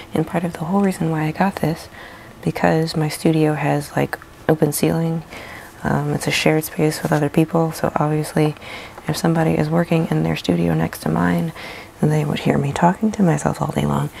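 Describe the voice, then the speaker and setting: A woman's quiet, raspy, put-on character voice at a fairly quick pace, over light background noise. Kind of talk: casual, conversational.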